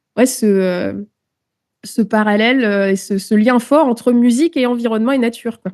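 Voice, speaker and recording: Her pitch is fairly high for a woman. It varies in an ordinary way. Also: moderate pace. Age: 30s. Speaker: musician and naturalist. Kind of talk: interview. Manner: hesitant, many filler words.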